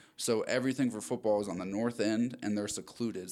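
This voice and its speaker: A man with an American accent and an unremarkable speaking voice talks at a fairly quick pace in a fairly low pitch, with fairly even intonation, on a very clean recording with a silent background. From Maryland. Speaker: rugby player. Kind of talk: casual interview. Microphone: new microphones.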